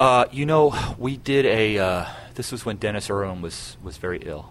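With audible room echo around him, a man speaks with ordinary pitch variation. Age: 40s. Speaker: jazz pianist and club owner. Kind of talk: interview.

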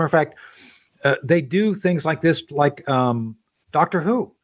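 A man speaks in a normal speaking voice, pitched fairly high. His pitch varies in an ordinary way. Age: 60s. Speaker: talk radio host and former combat officer. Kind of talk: casual interview chat.

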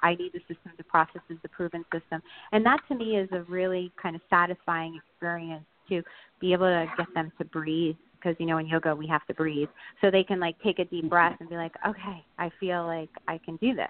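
A woman with an American accent speaks fairly quickly in an ordinary speaking voice, fairly low in pitch and with fairly even intonation. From New Jersey. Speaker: yoga franchise founder.

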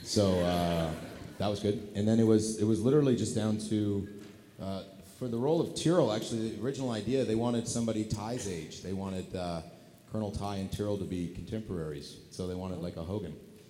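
A man with a fairly low pitch talks at a very fast pace. His pitch varies in an ordinary way. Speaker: actor and convention guest. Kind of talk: panel Q&A chat with audience. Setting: stage with audience at a convention. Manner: jokey, animated.

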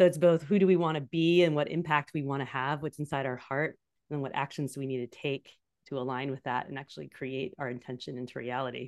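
Against a quiet background, a woman with a Californian accent speaks at a very fast pace in a very deep, low pitch with fairly even intonation. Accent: General American (Californian). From US West Coast, San Francisco Bay Area. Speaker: leadership coach. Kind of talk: interview.

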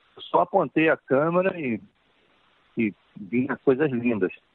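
A man is speaking. His pitch swings very widely. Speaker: film director. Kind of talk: interview. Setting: phone call. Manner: halting, repeats words. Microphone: telephone line.

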